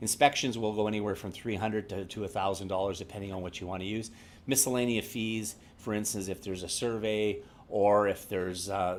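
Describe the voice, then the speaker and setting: A man's fairly low voice at a fairly quick pace. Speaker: real estate agent. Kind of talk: workshop presentation. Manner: fast.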